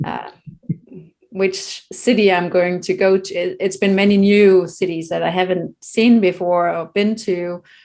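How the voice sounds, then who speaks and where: A woman with a Danish accent speaks at a fairly slow pace in a monotone, flat intonation. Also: medium pitch for a woman. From Denmark. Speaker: children's meditation author. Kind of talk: casual interview conversation.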